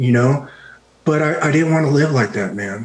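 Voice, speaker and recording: A soft-spoken man. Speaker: retired army special forces veteran, martial arts teacher. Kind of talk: podcast interview answer.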